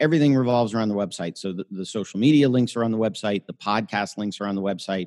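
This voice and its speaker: A man's fairly low voice, very fast with hardly any pauses, with ordinary pitch variation, a dry, close sound with no echo and a quiet background. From US South, Florida (Miami). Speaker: lawyer. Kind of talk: interview.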